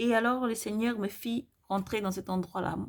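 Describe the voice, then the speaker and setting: Heard on a very clean recording with a silent background, a woman speaks with ordinary pitch variation. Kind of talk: testimony of visions. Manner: fast; hesitant, many fillers.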